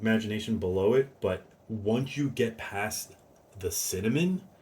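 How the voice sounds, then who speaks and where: At a fairly slow pace, a man speaks somewhat breathily at a medium pitch, with ordinary pitch variation and a dark, mellow tone. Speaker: fragrance reviewer. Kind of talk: casual review monologue. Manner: hesitant, many fillers.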